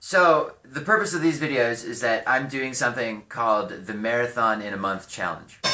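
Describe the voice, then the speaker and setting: With music in the background, a man with an American accent and a medium pitch talks at a moderate pace with lively intonation and hardly any pauses. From California. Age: 20s. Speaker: vlogger and musician. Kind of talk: casual vlog monologue. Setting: home garage.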